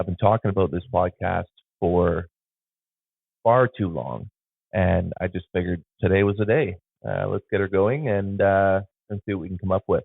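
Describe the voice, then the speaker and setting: Speaking at a moderate pace with long, frequent pauses, a man with an Ontario accent uses a fairly low pitch and ordinary pitch variation. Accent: Canadian (Ontario). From Southwestern Ontario, Canada (Sarnia). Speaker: photographer and podcast host. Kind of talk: casual podcast monologue. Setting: home studio. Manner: hesitant, many fillers. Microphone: phone camera plus podcast mixer.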